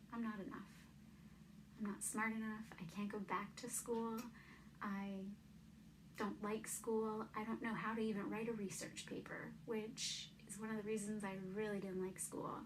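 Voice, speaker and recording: Speaking at a moderate pace with long, frequent pauses, a woman with a fairly high, somewhat breathy voice keeps a monotone, flat intonation amid audible room echo. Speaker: vlogger. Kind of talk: personal testimony. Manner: stutters; casual, hesitant.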